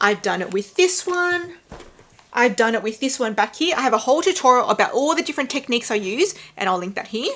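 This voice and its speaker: Over noticeable background noise, a woman with an Australian accent speaks at a high pitch, her voice making very wide pitch swings. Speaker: handbag vlogger. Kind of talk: casual review vlog.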